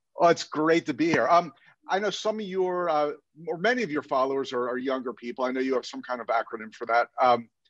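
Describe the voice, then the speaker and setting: A man talks at a very fast pace with lively intonation and a fairly high pitch. The sound is dry and close, without echo. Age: 60s. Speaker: dentist and dental consultant. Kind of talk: casual chat.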